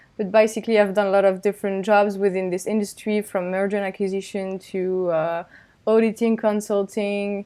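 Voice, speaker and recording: On a very clean recording with a silent background, a woman with a French accent speaks at a moderate pace and medium pitch. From France. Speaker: finance professional. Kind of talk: casual interview.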